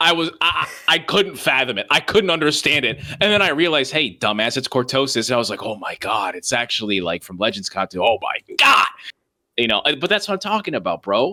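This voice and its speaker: The speaker is loud and animated, moving at a fairly quick pace with very wide pitch swings. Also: man, fairly high pitch for a man. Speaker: podcast co-host. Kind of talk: casual chat.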